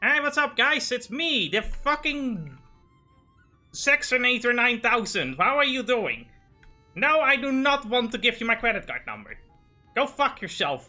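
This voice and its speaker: A female-sounding, put-on character voice speaks at a high pitch and moderate pace, with long, frequent pauses. Faint music plays in the background. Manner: sarcastic, cartoonish.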